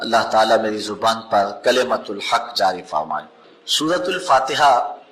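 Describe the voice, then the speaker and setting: Amid noticeable background noise, a man speaks with very wide pitch swings. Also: medium pitch for a man. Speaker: Islamic preacher. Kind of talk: religious sermon (bayan).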